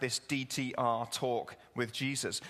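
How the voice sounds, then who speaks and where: Speaking with an English accent, a man uses a medium pitch. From England. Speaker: pastor. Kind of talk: sermon. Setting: church with congregation. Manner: conversational, humorous.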